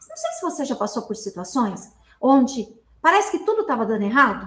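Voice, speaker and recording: The woman's voice moves in very wide pitch swings. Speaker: self-help speaker. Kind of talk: motivational talk. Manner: animated.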